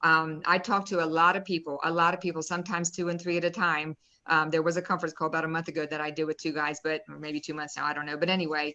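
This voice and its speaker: Against a quiet background, a woman with an American accent and a fairly low pitch races along at a very fast pace in a bright, sharp tone with hardly any pauses. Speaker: real estate investor and nurse. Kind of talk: live-stream interview, personal testimony. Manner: animated.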